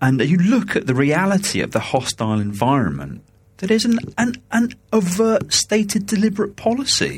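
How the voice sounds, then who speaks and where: At a moderate pace, a man with a British accent speaks at a high pitch with very wide pitch swings. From coastal England. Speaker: podcast co-host, EU civil servant. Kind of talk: casual political chat. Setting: at home, remote recording.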